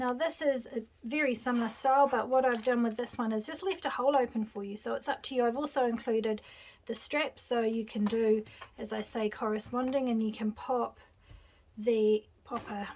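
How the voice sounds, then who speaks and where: A woman's high-pitched voice in a New Zealand accent, with ordinary pitch variation and a moderate pace. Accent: non-American, New Zealand. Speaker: craft designer and small business owner. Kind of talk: tutorial. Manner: casual, chatty.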